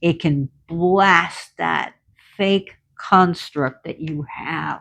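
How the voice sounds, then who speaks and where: Vocal fry in a woman's fairly low voice, with ordinary pitch variation. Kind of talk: casual, spiritual/tarot talk.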